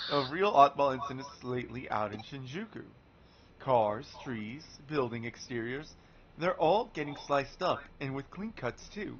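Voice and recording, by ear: Putting on a raspy character voice, a man speaks at a moderate pace with a fairly high pitch.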